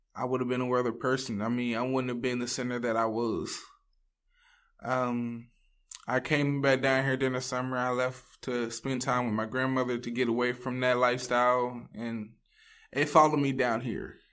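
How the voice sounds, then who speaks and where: A monotone voice with a Southern Louisiana accent speaks at a moderate pace. The recording is very clean, with a silent background. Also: man, medium pitch for a man. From US South, Louisiana (Ville Platte). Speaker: addiction recovery program student. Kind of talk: testimony.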